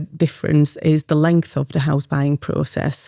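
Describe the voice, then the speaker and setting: A woman speaks fairly slowly in a very deep, low pitch with a dark, mellow tone and monotone, flat intonation. The sound is dry and close, without echo. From Hungary. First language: Hungarian. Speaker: mortgage brokerage founder. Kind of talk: podcast interview. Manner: halting, many fillers and repetitions.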